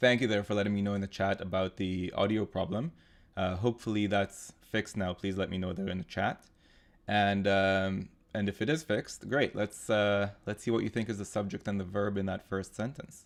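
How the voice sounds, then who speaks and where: This man has a fairly low pitch and a non-native accent. He talks at a fairly quick pace with fairly even intonation. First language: not English. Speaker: GMAT tutor. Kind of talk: live online tutorial; scripted intro. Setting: live online webinar with chat.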